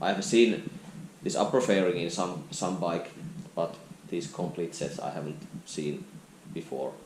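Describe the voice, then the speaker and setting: In a Finnish accent, a man with a very deep, low pitch talks at a fairly slow pace, with ordinary pitch variation and long, frequent pauses. Audible room echo and noticeable background noise fill the recording. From Finland. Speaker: motorcycle vlogger. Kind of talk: casual vlog walkaround. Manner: halting.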